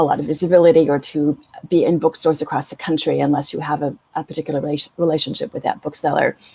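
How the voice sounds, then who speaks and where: A woman's very deep, low, dark and mellow voice with an American accent, flat and monotone, in a dry, close sound with no echo. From US West Coast. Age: 60s. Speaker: author. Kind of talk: panel discussion.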